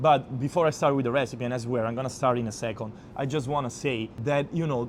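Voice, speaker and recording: A man speaks with an Italian accent. He talks at a fairly quick pace with ordinary pitch variation. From Abruzzo, Italy. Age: 20s. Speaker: chef. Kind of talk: cooking tutorial talk to camera. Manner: casual.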